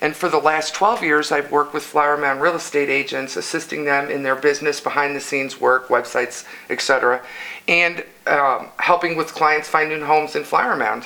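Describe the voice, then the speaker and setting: A speaker with an American accent uses fairly even intonation. Noticeable background noise is present. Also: woman, very deep, low pitch for a woman, fairly quick pace. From Illinois. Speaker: local council candidate. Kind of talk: interview.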